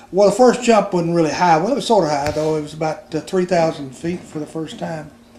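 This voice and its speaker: A man with a high pitch talks at a fairly quick pace. There is noticeable background noise behind him. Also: ordinary pitch variation. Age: 60s. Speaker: grandfather and retired Army veteran. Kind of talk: casual family chat. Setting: family Christmas gathering at home. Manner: halting, with frequent fillers.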